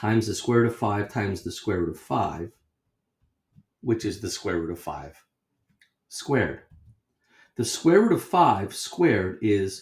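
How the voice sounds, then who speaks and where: Fairly low and somewhat breathy, a man's voice moves at a fairly slow pace. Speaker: math teacher. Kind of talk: lecture.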